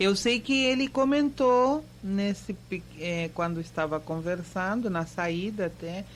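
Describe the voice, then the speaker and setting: Very slow speech from a woman with a Spanish accent, lively intonation and hardly any pauses. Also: medium pitch for a woman. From Argentina (Mendoza). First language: Spanish (speaking Portuguese). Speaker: university professor. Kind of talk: radio interview. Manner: halting, many fillers.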